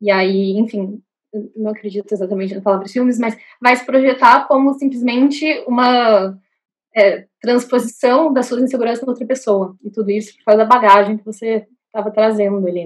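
A woman talks at a moderate pace in a plain, everyday voice, her pitch fairly high. Her pitch varies in an ordinary way while her loudness swings widely. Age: 20s. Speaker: law student and artist. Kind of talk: casual chat.

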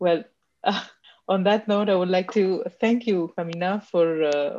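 Her voice has a dark, mellow tone and a medium pitch, with ordinary pitch variation. The woman keeps a moderate pace against a quiet background. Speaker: podcast host interviewer. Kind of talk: interview conversation. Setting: video call.

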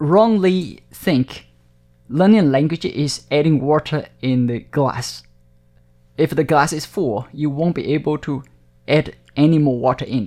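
This man has a fairly high pitch and a dark, mellow tone. He speaks at a fairly slow pace, with long, frequent pauses. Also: ordinary pitch variation. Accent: southern Chinese. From Taiwan, Hakka-speaking family. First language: Hakka. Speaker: TV channel director. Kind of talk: interview.

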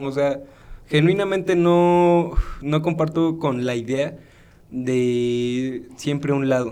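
At a very slow pace, a man's dark, mellow tone shows ordinary pitch variation in audible room echo. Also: fairly high pitch for a man. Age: 20s. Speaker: podcast co-host. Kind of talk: casual chat. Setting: birthday party at home.

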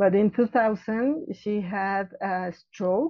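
The woman's voice sits at a medium pitch with ordinary pitch variation. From Mexico City. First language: Spanish. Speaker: florist and business owner. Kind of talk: interview. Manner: halting.

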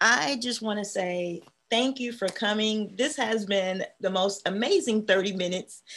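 A woman's unremarkable speaking voice, medium in pitch, fairly slow, with ordinary pitch variation. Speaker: podcast host, educator. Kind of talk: casual interview.

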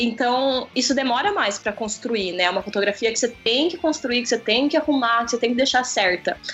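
Over noticeable background noise, a woman speaks at a high pitch and fairly quick pace, with lively intonation and hardly any pauses. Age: 20s. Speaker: photographer and video creator. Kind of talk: casual chat. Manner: animated.

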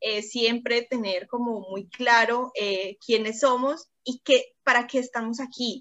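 A woman's high-pitched voice at a very slow pace. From Cúcuta, Colombia. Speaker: bacteriologist and youth service club district representative. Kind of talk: interview.

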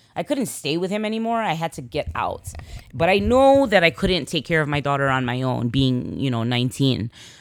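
A woman's very deep, low voice in a Chicago accent, fairly quick, with very wide pitch swings. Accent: Chicago American English. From Chicago, US. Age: 40s. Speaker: podcast host. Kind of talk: casual monologue.

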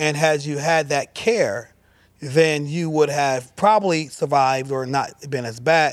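In an ordinary speaking voice, a man talks fairly slowly at a fairly high pitch with ordinary pitch variation, in a very clean recording with a silent background. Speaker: talk show host. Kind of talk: casual chat. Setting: studio.

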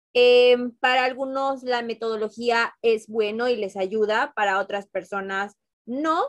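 A woman with a fairly high pitch and an ordinary speaking voice talks at a fairly slow pace with ordinary pitch variation. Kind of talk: casual chat.

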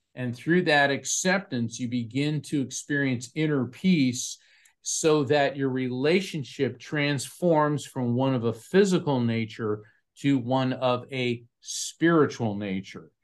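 Speaking at a very slow pace, a man with an American accent has a medium pitch and ordinary pitch variation over a quiet background. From Florida, US. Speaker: psychic medium and author. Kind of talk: interview.

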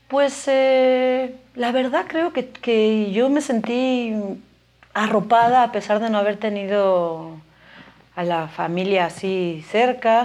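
Speaking very slowly, a woman with a fairly high pitch shows ordinary pitch variation. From Spain (Galicia). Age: 40s. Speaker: biologist and educator, mother. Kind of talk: casual interview.

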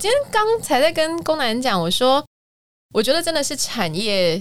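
Speaking fairly slowly, a woman talks with a Taiwanese accent. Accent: Taiwanese Mandarin. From Taiwan, Kaohsiung. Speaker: musical theatre singer and voice teacher. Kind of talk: casual chat.

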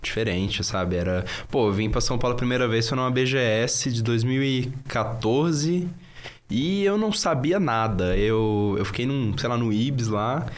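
With lively intonation and very even loudness, a man of medium pitch talks at a fairly slow pace amid audible room echo. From northern Brazil (Sergipe, Pará). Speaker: youtuber. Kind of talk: casual chat.

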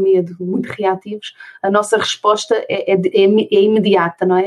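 A woman is speaking. Her pitch is medium. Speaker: special education therapist and conscious divorce mentor. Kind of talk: interview conversation.

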